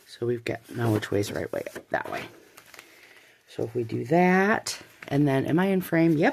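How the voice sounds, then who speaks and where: Noticeable background noise runs beneath speech at a moderate pace, with very wide pitch swings and long, frequent pauses. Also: woman, very deep, low pitch for a woman. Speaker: craft youtuber. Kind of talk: tutorial. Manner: casual, thinking aloud.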